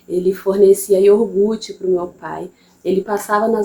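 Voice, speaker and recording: Here a woman speaks with a Bahian accent. Her pitch is medium. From interior of Bahia, Brazil. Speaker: mother and channel host. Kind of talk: personal testimony. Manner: casual, halting with repetitions.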